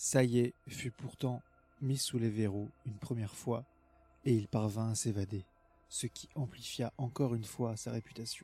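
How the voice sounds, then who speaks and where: Music plays behind a man speaking at a medium pitch. His pace is fairly slow and his intonation fairly even. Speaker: intro announcer and reader of quoted passages. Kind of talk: scripted reading of quotes.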